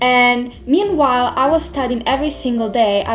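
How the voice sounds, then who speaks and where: With an Italian accent, the speaker goes at a moderate pace with ordinary pitch variation while music plays in the background. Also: woman. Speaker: language learning youtuber. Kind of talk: vlog advice talk.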